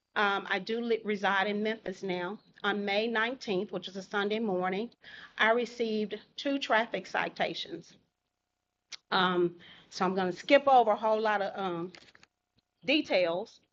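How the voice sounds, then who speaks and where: A woman with a Southern US accent speaks at medium pitch and a moderate pace, with ordinary pitch variation and long, frequent pauses. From Holly Springs, Mississippi. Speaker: public commenter at city council meeting. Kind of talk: public comment. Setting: city council meeting.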